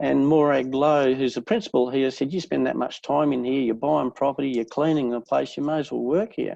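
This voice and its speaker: Over a quiet background, a man with an Australian accent speaks in a fairly high pitch with a dark, mellow tone and ordinary pitch variation. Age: 60s. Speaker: real estate agent. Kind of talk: interview.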